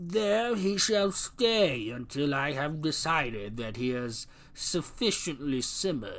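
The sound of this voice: Using a put-on character voice, a man talks at a fairly high pitch and a fairly slow pace with very wide pitch swings and hardly any pauses.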